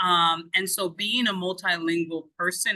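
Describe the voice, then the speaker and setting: A woman talks at a fairly slow pace in a bright, sharp tone at medium pitch. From outside the US. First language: not English. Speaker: education consultant. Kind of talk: interview.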